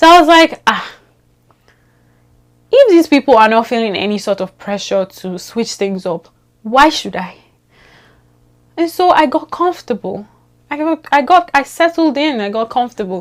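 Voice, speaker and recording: A woman with a Nigerian accent speaks at a high pitch in an animated tone. Her pitch swings very widely, with long, frequent pauses. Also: moderate pace. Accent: Nigerian, unchanged. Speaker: vlogger. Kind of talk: casual vlog monologue.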